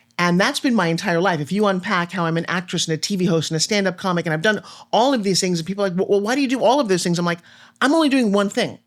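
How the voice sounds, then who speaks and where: Spoken at a very fast clip, the voice sounds animated against a perfectly silent background in a very clean recording. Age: 60s. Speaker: motivational speaker and TV host. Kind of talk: casual chat.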